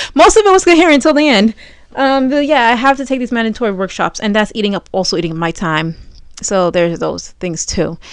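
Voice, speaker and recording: Against a quiet background, a woman talks at a very fast pace with lively intonation. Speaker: vlogger. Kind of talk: casual vlog monologue. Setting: home, recording at night. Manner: halting, many fillers and restarts.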